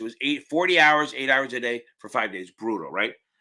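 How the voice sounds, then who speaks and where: A man speaks with a bright, sharp tone. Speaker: exam prep tutor. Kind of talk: live stream Q&A. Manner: fast; loud.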